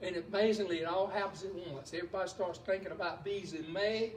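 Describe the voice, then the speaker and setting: High man's voice with a Southern US accent, animated in tone, at a moderate pace, with audible room echo. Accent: sounds like an old Southern preacher. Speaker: beekeeping presenter. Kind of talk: lecture. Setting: beekeepers club meeting. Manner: animated, folksy.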